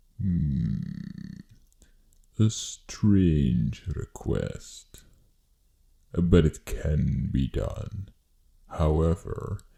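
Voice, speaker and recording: A man uses a put-on character voice with a theatrical tone and very deep, low pitch. He talks at a very slow pace with long, frequent pauses. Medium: audio drama. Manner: theatrical, drawn-out.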